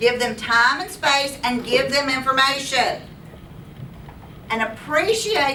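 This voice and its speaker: Her voice raised and projected, a woman speaks at a fairly slow pace with a high pitch and an animated tone, amid noticeable background noise and audible room echo. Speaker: teacher. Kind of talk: lecture.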